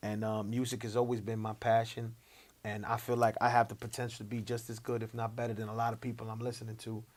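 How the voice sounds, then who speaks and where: A very fast man in a New York accent, medium-pitched, monotone and flat, on a very clean recording with a silent background. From Long Island, New York. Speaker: rapper. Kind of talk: interview.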